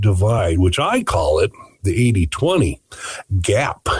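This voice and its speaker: This man speaks at a fairly slow pace. His voice is somewhat breathy. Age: 60s. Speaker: financial radio show host. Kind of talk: casual radio chat about finance.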